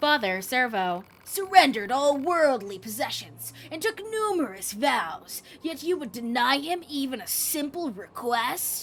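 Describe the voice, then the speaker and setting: A put-on, female-sounding character voice, high-pitched and dramatic, with very wide pitch swings, a moderate pace and hardly any pauses. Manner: like a rival anime protagonist, dramatic; pleading, solemn.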